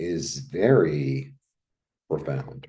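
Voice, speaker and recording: Speaking with an American accent, a man shows vocal fry and very wide pitch swings. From New York, Brooklyn. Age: 60s. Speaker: tarot reader. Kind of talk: casual tarot reading monologue. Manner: casual, conversational with filler words.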